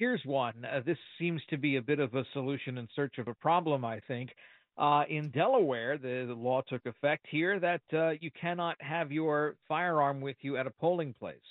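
With an ordinary speaking voice, a man of fairly high pitch talks at a moderate pace with ordinary pitch variation. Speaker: news correspondent. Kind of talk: radio interview. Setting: phone call.

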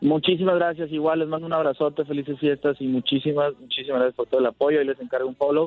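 Amid noticeable background noise, a man talks at a very fast pace with hardly any pauses, using a fairly high pitch and fairly even intonation. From Sonora, Mexico. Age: 20s. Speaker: singer-songwriter. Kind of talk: phone interview.

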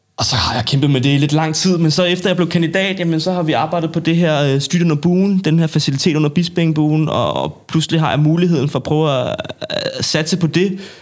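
The voice holds a very even loudness over noticeable background noise. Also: man, fairly high pitch for a man, fairly even intonation, fairly quick pace. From Denmark, North Zealand. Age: 20s. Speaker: street sports association chairman. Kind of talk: casual interview. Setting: studio.

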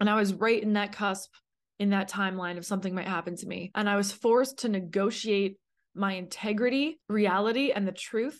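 Over a quiet background, a woman with a Canadian accent talks at a fairly quick pace in a plain, everyday voice, her pitch medium and her intonation fairly even. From Canada. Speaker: podcast host. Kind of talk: personal testimony monologue.

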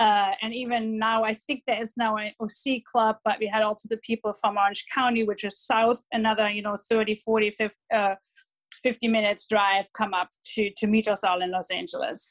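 A woman with a German accent talks at a moderate pace in a fairly high pitch, her intonation fairly even and the sound dry and close with no echo. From Germany, Dortmund. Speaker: football fan club organizer. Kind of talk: interview. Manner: hesitant, many fillers.

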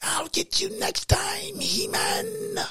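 The put-on character voice comes out raspy. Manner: evil, menacing.

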